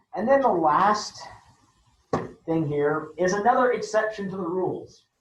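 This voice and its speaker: This man has a high pitch and ordinary pitch variation, talking at a fairly slow pace. Audible room echo surrounds his voice. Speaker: chemistry teacher. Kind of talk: lecture.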